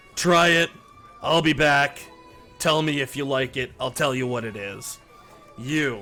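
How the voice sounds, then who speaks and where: A man uses a put-on character voice at a fairly high pitch, speaking at a fairly slow pace with long, frequent pauses. Faint music plays in the background. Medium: actual play. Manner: casual, wry.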